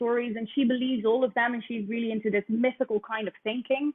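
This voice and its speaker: In a Dutch accent, a woman talks at a fairly high pitch with monotone, flat intonation. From Netherlands. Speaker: musical theatre actress. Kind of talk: interview. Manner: hesitant, many fillers.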